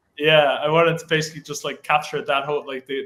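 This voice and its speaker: Someone with an Irish accent speaks at a fairly quick pace. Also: man. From Ireland. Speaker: AI art community founder. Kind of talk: casual interview. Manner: halting, many fillers.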